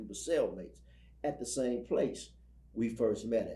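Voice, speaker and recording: Audible room echo hangs over speech delivered at a moderate pace. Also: man. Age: 60s. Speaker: ex-prisoner and prison ministry speaker. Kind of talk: interview testimony. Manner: halting, repeats words.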